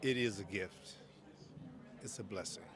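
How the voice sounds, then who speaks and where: The man talks at a fairly slow pace. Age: 70s. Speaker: head and neck surgeon. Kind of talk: interview.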